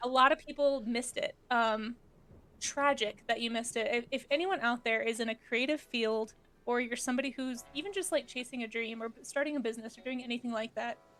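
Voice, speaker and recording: Soft-spoken and high-pitched, a woman talks at a fairly quick pace with ordinary pitch variation. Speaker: art streamer and teacher. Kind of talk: casual chat. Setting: live stream. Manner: animated. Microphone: too quiet, directional mic.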